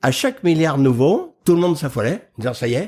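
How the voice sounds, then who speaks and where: A man's somewhat breathy voice comes at a fairly quick pace. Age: 70s. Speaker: agriculture expert and public speaker. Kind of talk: interview.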